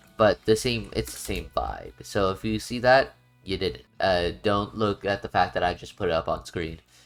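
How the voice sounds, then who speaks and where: With music in the background, a man speaks at a moderate pace and a fairly low pitch. His intonation is lively and he takes hardly any pauses. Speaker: gaming video creator. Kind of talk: tutorial. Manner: casual, with fillers and self-corrections.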